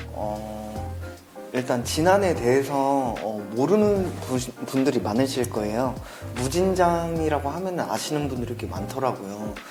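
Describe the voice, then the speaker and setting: Music plays in the background as a man with a medium-pitched voice talks at a fairly slow pace, using very wide pitch swings. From Jinan County, North Jeolla, South Korea. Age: 30s. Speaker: former social worker. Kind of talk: interview answer.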